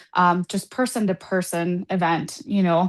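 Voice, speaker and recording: A woman speaks with a Spanish accent at a moderate pace. Her pitch is medium, and the background is quiet. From Colombia, raised abroad incl. Saudi Arabia. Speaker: political candidate. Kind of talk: candidate forum statement.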